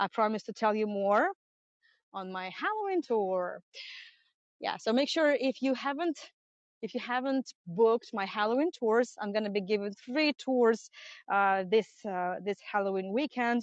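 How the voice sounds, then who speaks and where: With a Russian accent, a woman speaks at a fairly high pitch using lively intonation. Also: moderate pace. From Russia, St Petersburg. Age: 30s. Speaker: tour guide. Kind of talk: live-streamed guided tour. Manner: halting.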